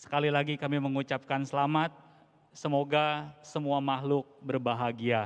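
In a flat monotone, a man speaks at a moderate pace against a quiet background. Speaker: Buddhist religious leader; guest. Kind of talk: formal speech. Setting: church with audience. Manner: formal. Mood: warm, formal well-wishing. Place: church. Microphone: handheld.

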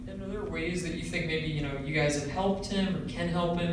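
The speech comes at a very fast pace. Noticeable background noise and strong room echo fill the recording. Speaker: sports reporter. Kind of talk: press interview. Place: meeting room.

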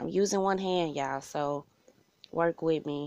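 A woman's voice at a moderate pace. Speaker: home cook vlogger. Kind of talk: casual cooking tutorial. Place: kitchen.

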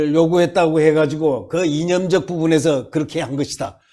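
On a very clean recording with a silent background, a man speaks with a high pitch and a dark, mellow tone. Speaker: political commentator. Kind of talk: political commentary interview. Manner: animated; halting.

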